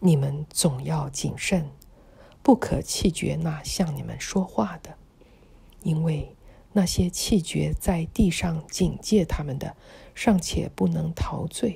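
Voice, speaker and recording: Her loudness rises and falls in big swings. The woman speaks very slowly. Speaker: audio Bible reader. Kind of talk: scripture reading.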